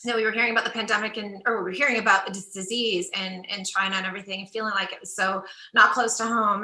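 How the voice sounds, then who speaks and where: Through audible room echo, a woman talks at a very fast pace with fairly even intonation. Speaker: karaoke competition director. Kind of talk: interview.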